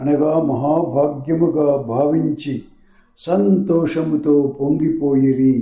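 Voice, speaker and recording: A man speaks with fairly even intonation, a fairly high pitch, and a dark, mellow tone. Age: old. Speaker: scripture reader. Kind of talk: devotional scripture reading.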